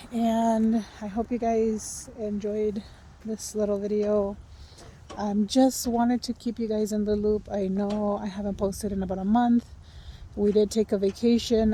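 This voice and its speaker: At a fairly slow pace, a woman speaks with a fairly high pitch and monotone, flat intonation. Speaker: vlogger. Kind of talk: casual vlog talk. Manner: whispering.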